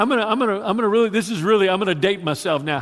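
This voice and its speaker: A man with a Louisiana accent, high-pitched and animated, with very wide pitch swings. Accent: Southern US (Louisiana). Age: 60s. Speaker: pastor. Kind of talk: sermon. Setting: church.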